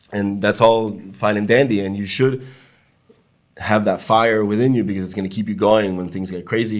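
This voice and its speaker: A fairly low-pitched man with a Spanish accent, fairly quick in pace, with big swings in loudness. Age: young. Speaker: podcast guest, immigrant to Israel. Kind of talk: casual interview chat.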